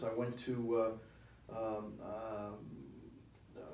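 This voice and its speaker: A man with a New York accent speaks at a medium pitch. Noticeable background noise and audible room echo fill the recording. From New York City (Washington Heights), Cuban-born. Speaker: city commissioner. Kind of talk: interview.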